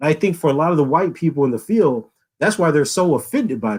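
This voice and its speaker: An animated man with an American accent and a fairly high pitch talks at a very fast pace, his voice making very wide pitch swings. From US South, Louisiana. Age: 40s. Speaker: philosophy professor. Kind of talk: podcast interview.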